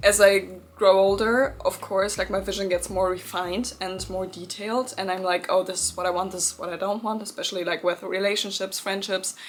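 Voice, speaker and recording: Barely pausing, a woman speaks at a fairly quick pace in a medium pitch. Her intonation is monotone and flat, though her loudness swings a lot. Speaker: manifestation youtuber. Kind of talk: pep talk.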